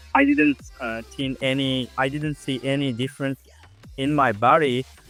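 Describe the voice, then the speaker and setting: Over music in the background, a man speaks in a confident tone at a fairly slow pace. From Uzbekistan. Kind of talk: IELTS speaking test answers. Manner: confident, clear.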